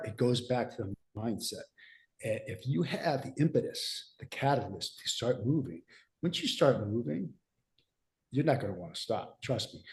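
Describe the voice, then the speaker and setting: The man's medium pitch carries vocal fry, lively intonation and big swings in loudness. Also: moderate pace. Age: 60s. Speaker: fitness coach and podcast host. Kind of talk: casual podcast discussion.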